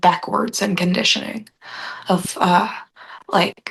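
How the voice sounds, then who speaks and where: A woman speaks at a medium pitch with a somewhat breathy sound. Her intonation is monotone and flat. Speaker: spiritual group meeting participant. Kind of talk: casual chat. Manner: hesitant, many fillers.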